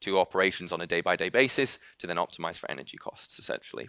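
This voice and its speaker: Recorded very cleanly against a silent background, a man speaks in a bright, sharp tone. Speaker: company founder and CEO. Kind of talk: conference talk. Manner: fast; hesitant, many fillers.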